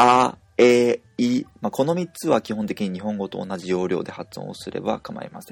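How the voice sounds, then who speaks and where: An unremarkable speaking voice from a man, medium in pitch with lively intonation and big swings in loudness, at a moderate pace with hardly any pauses, in a dry, close sound with no echo. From Japan. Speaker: language teacher. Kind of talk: tutorial.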